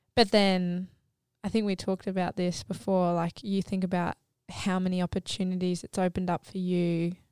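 A woman of medium pitch at a moderate pace, monotone and flat, in a very clean, dry, close recording with a silent background and no echo. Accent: Australian. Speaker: podcast host.

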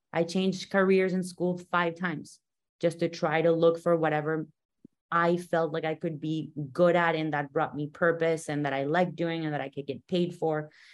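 Delivered at a moderate speed, an unremarkable speaking voice keeps its intonation fairly even. Nothing can be heard in the quiet background. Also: woman. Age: 30s. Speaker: podcast host and boxer. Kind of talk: interview.

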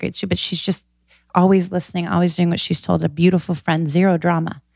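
On a very clean recording with a silent background, a woman with an American accent speaks at a fairly low pitch with monotone, flat intonation. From US West (Stockton, California). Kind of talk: casual interview.

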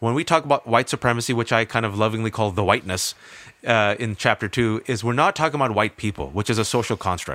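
A man with a General American accent speaks at a very fast pace and a medium pitch. His tone is bright, sharp and animated, with a dry, close sound and no echo. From US West Coast, Bay Area California. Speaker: author and columnist. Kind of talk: interview.

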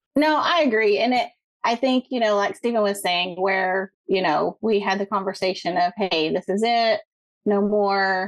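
A woman talks at a moderate pace in a normal speaking voice, her pitch medium with ordinary variation. Loudness stays very even, and the sound is dry and close with no echo. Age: 40s. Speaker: caller. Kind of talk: phone-in advice call.

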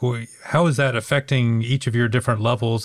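At a fairly quick pace, a somewhat breathy voice comes through on a very clean recording with a silent background. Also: man. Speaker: podcast host and professor. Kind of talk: interview.

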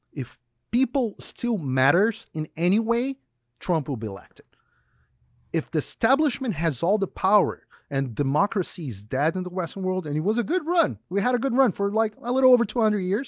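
A man with a Portuguese accent speaks fairly quickly in a high voice, his pitch swinging very widely, on a very clean recording with a silent background. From Brazil. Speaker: journalist. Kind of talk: interview. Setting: studio.

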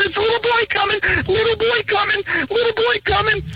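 Male speech at a moderate pace amid noticeable background noise. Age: 40s. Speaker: caller. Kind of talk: storytelling. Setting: phone call.

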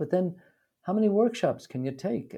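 Somewhat breathy and dark, mellow in tone, a man with an American accent speaks with very wide pitch swings. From US, New York City. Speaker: author and movement method teacher. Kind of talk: casual interview.

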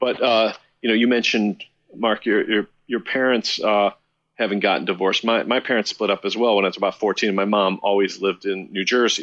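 Here is a man with an American accent and a plain, everyday voice. His fairly low pitch follows fairly even intonation against a quiet background. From Chicago. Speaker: musician. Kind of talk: casual interview.

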